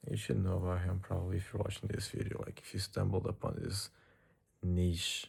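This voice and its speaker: A man's very deep, low voice, dark and mellow in tone, somewhat breathy, with a non-native accent. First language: not English. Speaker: vlogger. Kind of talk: casual monologue vlog. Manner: casual, hesitant with repetitions.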